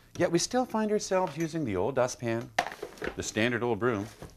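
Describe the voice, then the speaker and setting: A man talks at a fairly quick pace at a medium pitch, his voice swinging very widely up and down over noticeable background noise. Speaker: company founder. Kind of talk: infomercial presentation.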